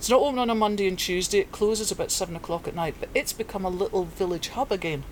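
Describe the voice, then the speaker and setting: A woman with a Scottish accent, very fast with hardly any pauses, in a medium pitch with ordinary pitch variation. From Scotland, Perthshire. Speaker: veterinarian. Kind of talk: casual interview. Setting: book and music shop.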